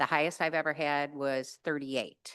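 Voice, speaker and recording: A woman speaks at an unhurried, medium tempo, with little sound around her. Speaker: program director. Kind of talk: presentation at a public board meeting. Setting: public meeting room with microphone. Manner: conversational.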